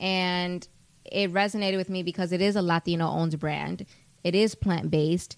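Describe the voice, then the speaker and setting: A woman with an American accent has an ordinary speaking voice at medium pitch, speaking at a moderate pace with fairly even intonation. The recording is very clean, with a silent background. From US Northeast, New York City, the Bronx. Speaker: singer-songwriter and actress. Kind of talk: casual interview chat.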